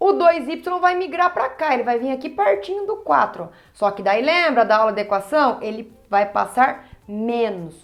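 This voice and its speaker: A high-pitched woman's voice with very wide pitch swings and audible room echo. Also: moderate pace. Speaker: math teacher. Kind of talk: lecture.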